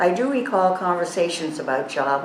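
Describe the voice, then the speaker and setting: Through noticeable background noise and audible room echo, a woman talks with an American accent. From Massachusetts, Boston area. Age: 80s. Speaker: assisted living resident sharing memories. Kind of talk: reading a prepared memoir aloud.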